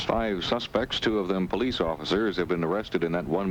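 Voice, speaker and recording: A man's very deep, low voice at a very fast pace, with ordinary pitch variation and noticeable background noise. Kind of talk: radio news anchor reading network newscast. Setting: vintage 1970s radio broadcast.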